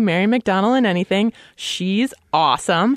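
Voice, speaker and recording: A woman speaks at a medium pitch with ordinary pitch variation in a plain, everyday voice, the sound dry and close with no echo over a quiet background. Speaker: podcast host. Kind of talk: casual chat.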